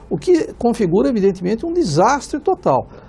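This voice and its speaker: Noticeable background noise fills the clip. A man speaks at a moderate pace. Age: 60s. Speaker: economics professor. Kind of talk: TV panel debate. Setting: studio. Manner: halting, many fillers.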